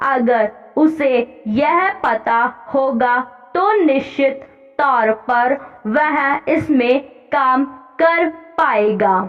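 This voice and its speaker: A woman with a high pitch speaks with long, frequent pauses over noticeable background noise. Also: ordinary pitch variation. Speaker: shorthand dictation reader for stenography exam practice. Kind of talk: exam dictation reading of a parliamentary speech. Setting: exam hall style. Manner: slow, measured, dictation pace with pauses.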